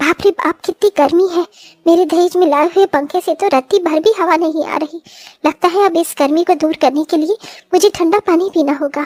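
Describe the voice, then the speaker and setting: In a cartoonish character voice, a woman speaks at an extremely high pitch and a fairly quick pace. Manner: dramatic, emphatic.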